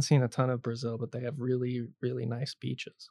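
In a dry, close sound with no echo, a man with a normal speaking voice talks at medium pitch and a moderate pace. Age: 20s. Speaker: student podcast host. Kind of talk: casual interview.

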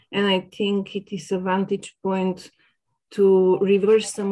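A woman speaks with a Bulgarian accent. Her pitch is medium. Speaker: sociology academic. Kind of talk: academic interview.

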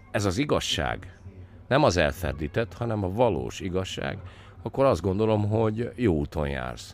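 A man's very deep, low voice with very wide pitch swings at a fairly slow pace, over music in the background. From Villány, southern Hungary. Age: 50s. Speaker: winemaker and former MP. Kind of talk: interview. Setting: makeshift studio at a festival. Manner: hesitant, many fillers.

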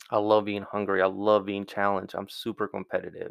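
A man's voice with a fairly low pitch. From Mexico, raised from 12 in Georgia. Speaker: restaurant team leader and consultant. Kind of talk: casual interview.

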